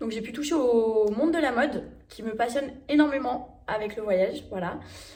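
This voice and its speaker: A woman at a moderate pace, high in pitch with ordinary pitch variation and big swings in loudness, amid noticeable background noise. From France. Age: 20s. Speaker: travel vlogger. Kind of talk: casual talk to camera.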